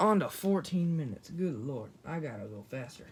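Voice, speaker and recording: This man's pitch swings very widely as he talks. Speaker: YouTuber doing toy unboxing. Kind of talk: casual unboxing video. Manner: hurried.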